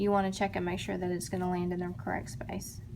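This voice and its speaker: With an American accent, a woman speaks at a fairly quick pace. Her medium-pitched voice carries vocal fry. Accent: Texan, comes and goes. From Texas, Dallas. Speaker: crochet tutorial maker. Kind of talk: tutorial. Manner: casual, chatty.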